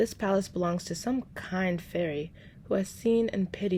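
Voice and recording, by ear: Someone is reading aloud in a natural voice, with pitch that varies in an ordinary way.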